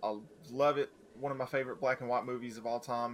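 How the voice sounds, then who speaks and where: A man talks at a very fast pace. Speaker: podcast co-host. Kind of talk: casual banter.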